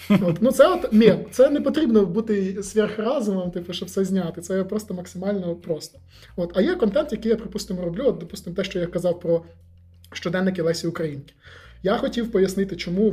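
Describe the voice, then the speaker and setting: This man speaks at a very fast pace with a high pitch, a dark, mellow tone and ordinary pitch variation. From Volyn, north-western Ukraine. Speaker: historian and short-video blogger. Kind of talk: casual interview chat. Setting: studio.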